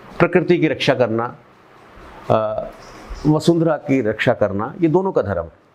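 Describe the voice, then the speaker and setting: A man talks in a fairly high voice with lively intonation, leaving long, frequent pauses. Noticeable background noise runs underneath. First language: Punjabi (speaking Hindi). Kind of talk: interview. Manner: halting.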